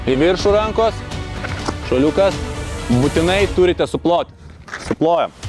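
Over clear background music, a man with a high pitch speaks with ordinary pitch variation in a dry sound with no echo. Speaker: fitness coach. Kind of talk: casual vlog chat and instruction.

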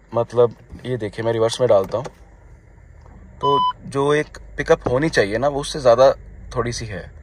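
A man at medium pitch with very wide pitch swings and a moderate pace.

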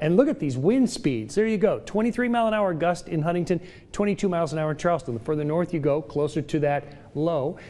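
A man speaks fairly quickly in a dark, mellow tone. His intonation is lively. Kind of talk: weather forecast presentation. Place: studio. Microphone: lapel.

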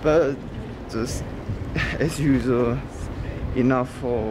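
Loud background noise runs under speech delivered at a very slow pace with ordinary pitch variation. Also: man. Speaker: travel vlogger. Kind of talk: casual vlog chat. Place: street. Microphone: phone near.

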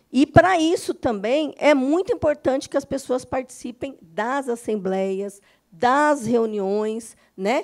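A woman talks at a fairly slow pace with very wide pitch swings against a quiet background. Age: 50s. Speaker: union lawyer. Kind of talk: lecture. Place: meeting room. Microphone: handheld.

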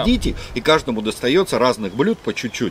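A man talks at a fairly quick pace with light background noise behind him. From Russia. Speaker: video blogger living in China. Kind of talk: casual chat. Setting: rooftop. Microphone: camera far.

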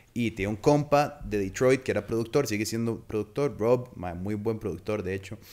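Using hardly any pauses, a man talks at a moderate pace with a fairly low pitch and ordinary pitch variation. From Costa Rica. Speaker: podcast host. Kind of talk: casual chat. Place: studio. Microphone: studio mic.

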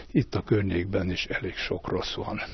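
A somewhat breathy man speaks at a very slow pace, the sound dry with no echo and light background noise. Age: 70s. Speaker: mechanical engineer giving a public talk; lecturer. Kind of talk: lecture. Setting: library talk with audience. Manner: halting, many filler sounds. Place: hall. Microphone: handheld.

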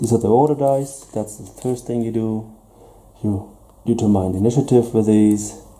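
With a German accent, a man at medium pitch keeps his intonation fairly even while his loudness rises and falls in big swings. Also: moderate pace. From Germany. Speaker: tabletop gaming youtuber. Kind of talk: unboxing review. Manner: hesitant. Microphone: camera far.

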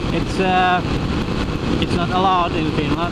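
Very slow speech with a dry, echo-free sound amid loud background noise. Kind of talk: casual vlog chat. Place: motorbike. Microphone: helmet.

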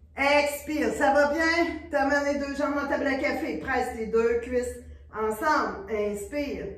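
Amid audible room echo, a woman speaks at a high pitch and a fairly slow pace, with ordinary pitch variation. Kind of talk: exercise class instruction. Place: studio. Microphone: camera far.

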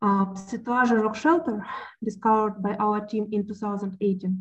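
The voice is somewhat breathy, with fairly even intonation. The background is quiet. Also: woman. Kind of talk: lecture. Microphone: webcam.

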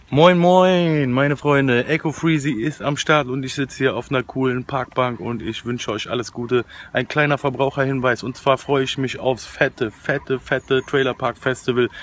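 A man speaks at a moderate pace with fairly even intonation and hardly any pauses. Light background noise is present. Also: dry sound with no echo. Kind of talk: casual vlog chat. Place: forest. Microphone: phone near.

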